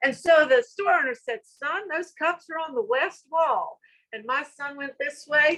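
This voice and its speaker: With a Southern US accent, a woman uses a raised, projected voice with a bright, sharp tone and high pitch, speaking at a fairly slow pace with hardly any pauses, very wide pitch swings and big swings in loudness, in a dry, close sound with no echo. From US South. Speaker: school director. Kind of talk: conference talk. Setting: virtual summit session.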